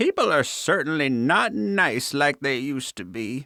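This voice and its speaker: Putting on a character voice, a man speaks at a fairly high pitch and moderate pace with lively intonation, the sound dry and close with no echo. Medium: read story. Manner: prim, genteel.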